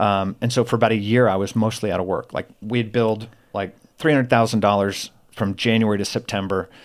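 Speaking in a plain, everyday voice, a man with an American accent has a fairly low pitch and fairly even intonation at a fairly quick pace. The recording is very clean, its background silent. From US South, Florida. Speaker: former convict with a redemption story. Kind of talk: testimony.

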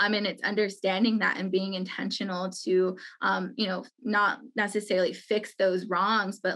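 With an American accent, a woman speaks at a medium pitch with ordinary pitch variation in an ordinary speaking voice against a quiet background. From Navajo Nation, Monument Valley, Utah. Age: 20s. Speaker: community center director. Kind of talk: interview.

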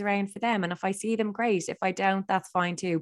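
A woman speaks at medium pitch in an Irish accent. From Ireland. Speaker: radio presenter and journalist. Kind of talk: casual interview chat.

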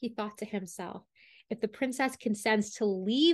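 A woman speaks in a plain, everyday voice, fairly high in pitch with ordinary pitch variation, over a quiet background. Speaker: storyteller podcast host. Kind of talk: reading a fairy tale aloud as storytelling narration.

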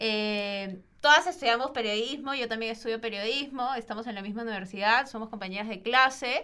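A woman talks fairly quickly with hardly any pauses, her fairly high voice bright and sharp in tone. Her pitch varies in an ordinary way, her loudness swings widely, and the recording is very clean with a silent background. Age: 20s. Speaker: podcast host, journalism student. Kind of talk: casual chat.

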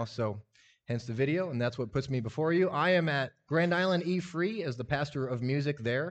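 With an unremarkable speaking voice, a man with a fairly high pitch talks at a fairly quick pace with ordinary pitch variation. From US Midwest (Lincoln, Nebraska). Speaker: lay preacher. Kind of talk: sermon. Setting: church audience. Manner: casual.

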